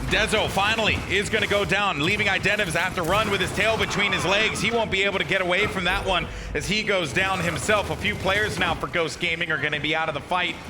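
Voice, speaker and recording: With a raised, projected voice at a high pitch, a man talks very fast with hardly any pauses and very even loudness, amid noticeable background noise and audible room echo. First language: not English (English is third language). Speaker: esports caster. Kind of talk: live commentary. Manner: animated.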